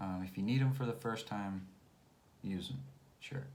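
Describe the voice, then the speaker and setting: A somewhat breathy man with an American accent, his pitch swinging very widely, in a room with audible echo. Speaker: English teacher. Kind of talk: tutorial. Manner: slow; clear.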